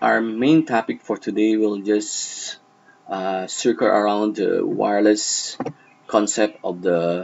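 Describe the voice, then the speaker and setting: Against light background noise, a man speaks at a very slow pace. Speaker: network tutorial narrator. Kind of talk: tutorial. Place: home room.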